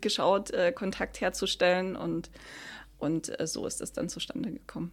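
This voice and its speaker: A woman's voice at a moderate pace, with vocal fry. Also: very clean recording, silent background. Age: 30s. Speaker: climate activist. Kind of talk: interview. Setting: office rooms.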